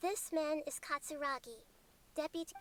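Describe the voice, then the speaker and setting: At a moderate pace, the speaker puts on a character voice with a gentle tone. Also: female-sounding voice, high pitch for a woman. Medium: video game. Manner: gentle, earnest.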